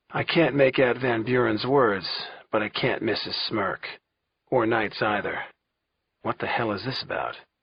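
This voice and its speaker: Using a raspy put-on character voice at a medium pitch, a man speaks at a moderate pace with long, frequent pauses. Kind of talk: suspense audiobook narration. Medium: read story. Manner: tense, clipped.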